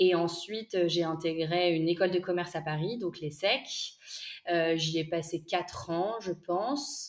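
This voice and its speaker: Her fairly low-pitched voice moves at a fairly slow pace, this woman using ordinary pitch variation. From northern France, Lille. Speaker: entrepreneur, micro-nursery co-founder. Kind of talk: interview. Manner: hesitant, many fillers.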